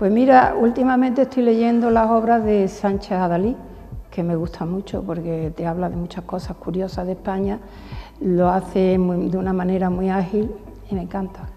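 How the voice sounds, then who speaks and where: Noticeable background noise accompanies a woman whose pitch varies in an ordinary way. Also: medium pitch for a woman, moderate pace. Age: 80s+. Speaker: businesswoman. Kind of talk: interview.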